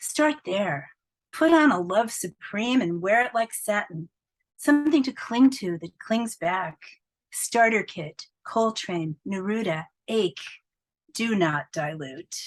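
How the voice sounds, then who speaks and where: A woman at medium pitch with very wide pitch swings and a very slow pace, in a dry, close sound with no echo. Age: 70s. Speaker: poet. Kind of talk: reading aloud; interview. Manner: animated.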